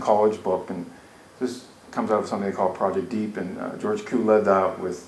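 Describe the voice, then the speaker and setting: A man speaks at a fairly quick pace with ordinary pitch variation. There is audible room echo and noticeable background noise. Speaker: educational analyst presenting a workshop. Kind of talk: conference workshop presentation. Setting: conference room with audience. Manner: fast; casual, with fillers and false starts.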